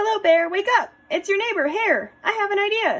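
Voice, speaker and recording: Squeaky and extremely high-pitched, a woman performs a put-on character voice. She moves at a moderate pace. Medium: read story. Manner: friendly, persuasive.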